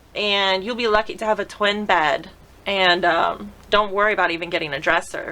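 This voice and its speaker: A woman with a plain, everyday voice speaks at a moderate pace. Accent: American. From Florida. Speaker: model and modeling teacher. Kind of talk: casual interview chat.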